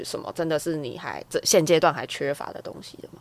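This woman speaks with a very deep, low pitch. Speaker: podcast co-host. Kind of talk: casual interview chat.

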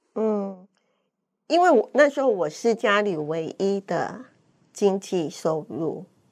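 Her intonation lively, a woman speaks at a very slow pace with long, frequent pauses. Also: medium pitch for a woman, quiet background. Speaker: cancer survivor and fitness instructor. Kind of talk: interview testimony.

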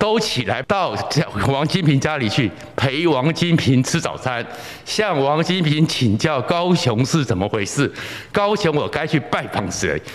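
Against noticeable background noise, a man speaks at a fairly slow pace. His fairly high voice moves in very wide pitch swings. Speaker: political commentator. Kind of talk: solo political commentary. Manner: animated.

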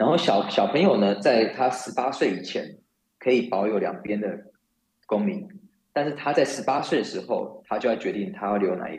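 At a moderate pace, a man with a medium pitch makes very wide pitch swings. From Taiwan. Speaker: finance and compliance professional. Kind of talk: interview. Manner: halting, frequent repetitions.

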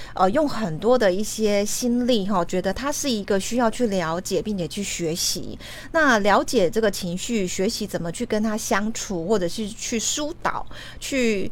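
A woman with an ordinary speaking voice talks at a fairly slow pace, her fairly high pitch carrying lively intonation. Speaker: radio host. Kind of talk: interview.

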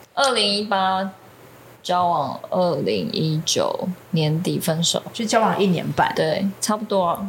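A woman speaks very slowly at medium pitch, with vocal fry and ordinary pitch variation. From Taiwan. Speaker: ceramic artist. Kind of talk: casual chat.

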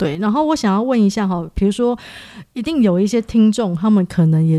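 A woman's dark, mellow tone at a fairly quick pace, with lively intonation. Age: 40s. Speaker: podcast host and part-time social work student. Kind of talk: casual interview chat.

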